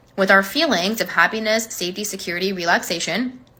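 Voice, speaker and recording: Over noticeable background noise, a woman talks at a fairly quick pace in an animated tone. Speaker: manifestation coach. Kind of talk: social media monologue. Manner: casual, animated.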